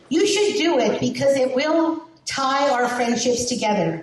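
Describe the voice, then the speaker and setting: With a New Jersey accent, a woman speaks high and fairly slowly, her pitch swinging very widely amid audible room echo. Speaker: lineage society committee chair. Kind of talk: meeting presentation.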